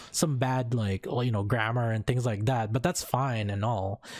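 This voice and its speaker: On a very clean recording with a silent background, a man talks at a fairly slow pace. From Philippines. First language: Tagalog. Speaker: streamer. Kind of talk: casual chat. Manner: halting, many fillers and restarts.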